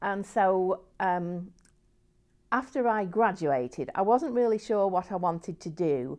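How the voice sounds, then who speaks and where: Against a quiet background, a woman with an English accent speaks at a medium pitch and a fairly slow pace, her intonation lively. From England. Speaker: nun. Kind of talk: interview testimony. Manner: halting, with fillers and restarts.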